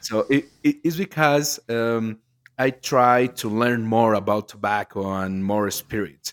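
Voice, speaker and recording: Speaking at a very slow pace, a man with a medium pitch and ordinary pitch variation is heard in a very clean, dry, close recording with no echo and a silent background. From Mexico, Jalisco. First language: Spanish. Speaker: cigar blender and company co-founder. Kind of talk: podcast interview. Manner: halting, repeats words while searching for English.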